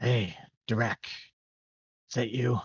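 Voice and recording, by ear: Growling and raspy, a man performs a put-on character voice. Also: medium pitch for a man.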